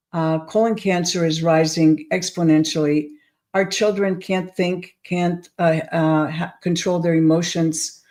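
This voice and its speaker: Fairly low, dark, mellow female voice, flat and monotone, at a fairly slow pace, on a very clean recording with a silent background. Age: 70s. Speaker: probiotics company founder and health speaker. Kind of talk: monologue talk to camera. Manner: hesitant with frequent fillers.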